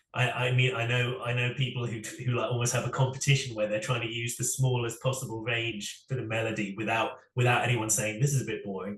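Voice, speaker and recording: In a room with audible echo, a man at medium pitch speaks very fast in a monotone, flat intonation. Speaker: singer-songwriter. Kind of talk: interview. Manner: halting, many repetitions.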